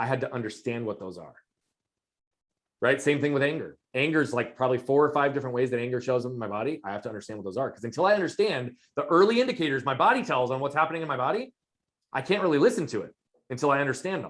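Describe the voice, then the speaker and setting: A loud man at a fairly high pitch, with lively intonation and a very fast pace. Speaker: performance coach. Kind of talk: interview.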